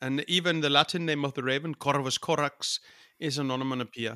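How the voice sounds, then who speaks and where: Bright and sharp in tone, a man with an Icelandic accent speaks at a moderate pace in a fairly high voice with fairly even intonation. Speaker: folk musician. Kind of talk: interview.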